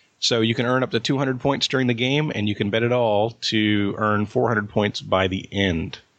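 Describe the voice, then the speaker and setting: In an unremarkable speaking voice, a man at medium pitch talks at a moderate pace with ordinary pitch variation, very even loudness and hardly any pauses. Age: 40s. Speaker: trivia quizmaster. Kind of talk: game show quizzing.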